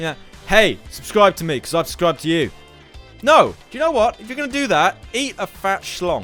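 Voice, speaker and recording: Music plays in the background as a man with a high pitch speaks at a fairly quick pace. His pitch swings very widely and his loudness rises and falls sharply. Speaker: gaming YouTuber. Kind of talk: casual talk to camera over gameplay. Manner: fast.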